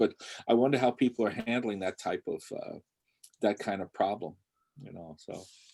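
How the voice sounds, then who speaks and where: On a very clean recording with a silent background and a dry, close sound with no echo, a man speaks at medium pitch with ordinary pitch variation. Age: 60s. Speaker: animation educator and panel moderator. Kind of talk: panel discussion. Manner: halting, many fillers and repetitions.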